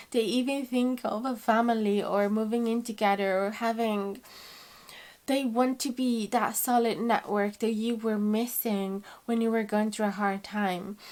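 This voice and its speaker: Speaking with a non-native accent, a woman talks at a fairly slow pace and a fairly high pitch in a monotone, flat intonation. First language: not English. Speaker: tarot reader. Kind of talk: tarot reading to camera. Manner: warm, conversational.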